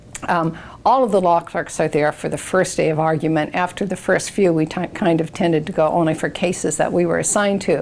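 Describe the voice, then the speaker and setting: A woman with an ordinary speaking voice talks at a fairly low pitch and fairly quick pace. Her intonation is fairly even, with hardly any pauses. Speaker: retired state supreme court justice, former Supreme Court law clerk. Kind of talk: oral history interview answer. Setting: interview recording.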